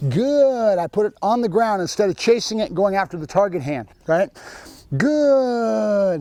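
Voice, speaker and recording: A man's high-pitched voice carries a dark, mellow tone. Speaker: dog trainer. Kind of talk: tutorial. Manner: varied voice tones, dog commands.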